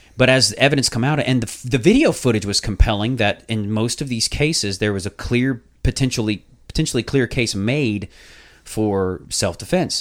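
This is a normal speaking voice at a moderate pace, with ordinary pitch variation. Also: man, medium pitch for a man. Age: 30s. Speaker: podcast host. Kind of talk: casual chat.

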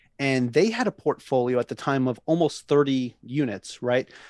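A man with an American accent speaks in a normal speaking voice at a medium pitch, with ordinary pitch variation, in a dry, close sound with no echo against a quiet background. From Long Island, New York. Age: 30s. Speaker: navy sailor and real estate agent. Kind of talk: interview.

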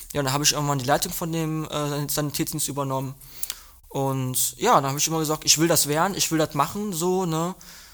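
A man's fairly high voice, a plain, everyday voice, at a fairly quick pace with fairly even intonation. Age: young. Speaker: nursing trainee. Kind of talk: casual chat.

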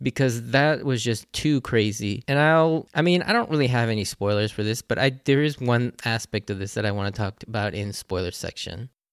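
In a very clean recording with a silent background, a man speaks with lively intonation, the sound dry and close with no echo. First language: English (Japanese is second language). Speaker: anime podcast host. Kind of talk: solo podcast episode review. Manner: casual, slightly rambling.

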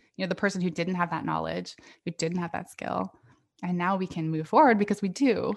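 The speaker has an American accent and vocal fry. The pace is fairly quick, with ordinary pitch variation. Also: woman, fairly low pitch for a woman. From US West Coast (Northern California). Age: 40s. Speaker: podcaster and coaching client. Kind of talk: casual interview chat.

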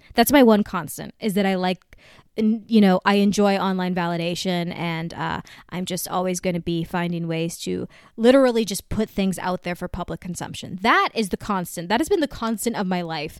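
A woman with an unremarkable speaking voice talks at a fairly quick pace, with medium pitch and ordinary pitch variation. The recording is very clean, dry and close, with no echo and a silent background. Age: 30s. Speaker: podcast host. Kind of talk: casual monologue.

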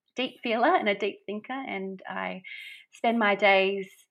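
Speaking with an Australian accent, a woman with a medium pitch uses ordinary pitch variation at a fairly slow pace. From Australia, Brisbane. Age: 30s. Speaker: small business owner and poet. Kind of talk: podcast interview. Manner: hesitant, many fillers.

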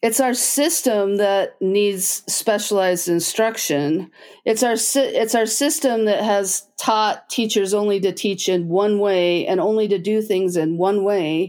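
A woman with an American accent and a normal speaking voice, medium in pitch, at a fairly slow pace, with ordinary pitch variation, very even loudness and hardly any pauses. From Utah, US (Logan). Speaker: special education director. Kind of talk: casual interview.

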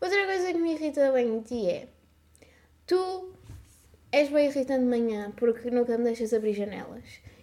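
Noticeable background noise sits under speech with lively intonation. The pace is moderate, broken by long, frequent pauses. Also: woman, high pitch for a woman. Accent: European Portuguese. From Portugal, Samora Correia (Ribatejo). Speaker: podcast co-host, TikTok creator. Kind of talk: casual chat.

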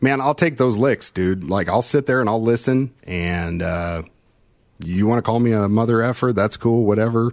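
Pitched fairly low, a man with an ordinary speaking voice talks with an American accent and ordinary pitch variation. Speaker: fire service instructor. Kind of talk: casual interview chat. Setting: live video call.

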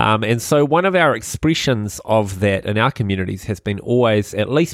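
A man speaks with a New Zealand accent and a fairly low pitch. The recording is very clean, with a silent background. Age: 30s. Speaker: podcast host, church network leader. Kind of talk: casual chat about faith.

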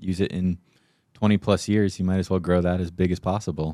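In an American accent, the voice runs at a very fast pace with fairly even intonation and a dark, mellow tone. The recording is very clean, with a silent background. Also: man. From Arizona, small town (Payson). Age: 20s. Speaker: financial advisor. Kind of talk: casual chat.

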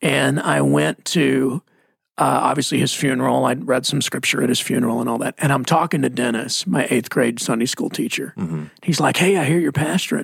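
With an American accent, a man speaks at a moderate pace. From Texas (Mesquite). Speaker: pastor. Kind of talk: casual chat.

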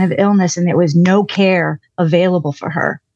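A woman talks at a fairly quick pace, her medium pitch rising and falling in an ordinary way. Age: 60s. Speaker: counseling guest. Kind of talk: counseling session.

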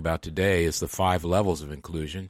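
A man with a very deep, low voice and an American accent, fairly quick pace, fairly even intonation, on a very clean recording with a silent background. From Michigan. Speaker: podcast host. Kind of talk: casual chat.

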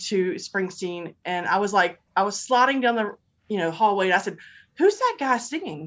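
At a moderate pace and medium pitch, a woman with an American accent speaks in an ordinary speaking voice with ordinary pitch variation. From Virginia. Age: 50s. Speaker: superfan co-host for the day. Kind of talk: casual chat.

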